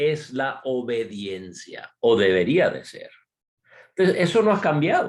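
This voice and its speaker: Very slowly, a man talks with vocal fry and lively intonation. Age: 60s. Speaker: missionary speaker. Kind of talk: sermon.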